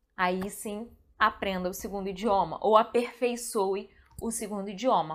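Captured in a very clean recording with a silent background, a woman talks at a fairly slow pace in an animated tone. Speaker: translator and video creator. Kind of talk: casual video monologue.

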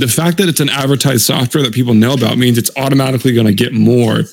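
Speaking very fast, a man uses an animated tone at a medium pitch. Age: 20s. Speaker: podcast co-host. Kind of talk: casual chat.

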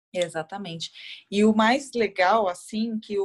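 Her pace is very slow. This woman's fairly high voice keeps a fairly even intonation. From Brazil, Guarulhos (São Paulo state). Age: 30s. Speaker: running influencer and executive. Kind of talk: interview conversation.

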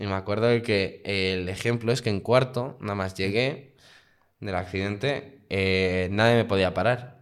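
A man with an ordinary speaking voice talks at a fairly slow pace, his fairly low pitch held in fairly even intonation. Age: 20s. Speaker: guest sharing personal experience. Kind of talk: casual interview.

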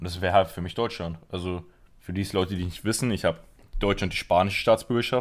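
A man with a very deep, low pitch talks at a fairly quick pace. His intonation is fairly even, in a very clean recording with a silent background. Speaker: football podcast host. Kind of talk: casual chat.

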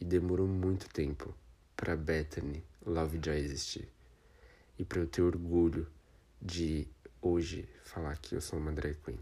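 This man's voice is very deep and low, with a dark, mellow tone and a somewhat breathy quality. His intonation stays fairly even, broken by long, frequent pauses. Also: fairly slow pace. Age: 20s. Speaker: podcaster and drag queen. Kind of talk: personal testimony monologue.

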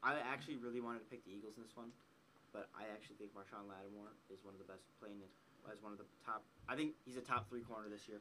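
A man's fairly low, bright and sharp voice at a very fast pace, with fairly even intonation and big swings in loudness. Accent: American. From Wisconsin. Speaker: sports podcast co-host. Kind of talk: casual chat.

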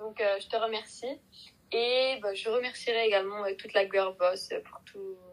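This woman has a plain, everyday voice pitched fairly high. Her intonation is fairly even. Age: 20s. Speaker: marketing student. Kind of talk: casual chat.

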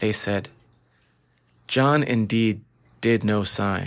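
Very slow speech from a man, with fairly even intonation. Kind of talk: audiobook reading of scripture. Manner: formal, steady, measured reading.

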